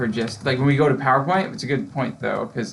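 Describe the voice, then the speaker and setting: The man's voice sits at a medium pitch and moves at a fairly quick pace. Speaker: GIS trainer showing colleagues. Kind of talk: internal training tutorial. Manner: fast; casual, many fillers.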